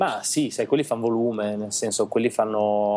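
A man speaks at a fairly low pitch in a dark, mellow tone. His intonation is monotone and flat. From Italy, Reggio Emilia. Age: 30s. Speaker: illustrator. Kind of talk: casual chat interview.

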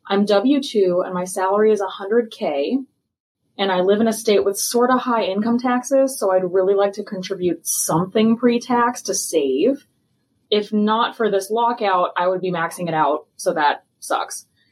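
A woman with an American accent speaks at a moderate pace and a medium pitch. She has ordinary pitch variation and an ordinary speaking voice. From US Midwest. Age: 30s. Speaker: listener asking a question. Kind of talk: recorded voicemail question.

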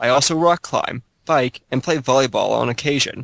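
In a quiet background, a man with an unremarkable speaking voice talks at a moderate pace and medium pitch with fairly even intonation. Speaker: gaming blogger. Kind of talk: casual chat.

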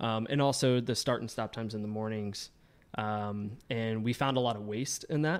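A man with an American accent speaks in an ordinary speaking voice at a medium pitch. His intonation is fairly even and his pace moderate. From US South, Georgia. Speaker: print shop owner. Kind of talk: casual chat.

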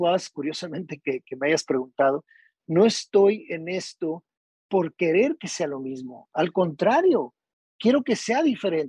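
A man's high-pitched voice at a very slow pace, dry and close with no echo. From Tijuana, northern Mexico. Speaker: golf course architect. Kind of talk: casual interview.

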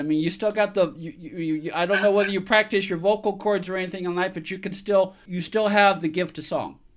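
A man with an American accent, high-pitched and fairly quick in pace. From San Francisco, California. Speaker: radio talk show host. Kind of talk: casual interview.

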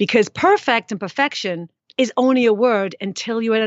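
With a plain, everyday voice, a woman talks at medium pitch and a moderate pace with ordinary pitch variation. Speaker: fitness expert and author. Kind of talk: casual interview chat.

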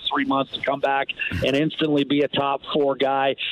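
A man talks with a fairly high pitch. Noticeable background noise runs under his voice. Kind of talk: radio interview.

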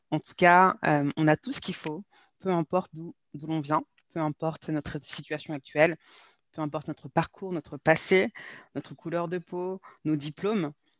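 A woman with a very deep, low pitch speaks at a moderate pace, with long, frequent pauses and fairly even intonation. Her loudness swings a lot, and the sound is dry and close with no echo. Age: 30s. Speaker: sales and mindset coach. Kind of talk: interview.

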